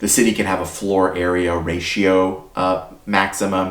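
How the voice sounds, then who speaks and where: A man speaks with a very deep, low pitch. Audible room echo and noticeable background noise surround his voice. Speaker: YouTube channel host, housing consultant. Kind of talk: explainer video. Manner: loud; casual, conversational.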